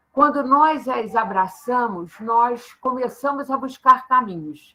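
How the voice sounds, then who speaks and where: High-pitched and bright, sharp in tone, a woman speaks at a very slow pace. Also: lively intonation. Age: 70s. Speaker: social sciences professor. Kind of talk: guest talk.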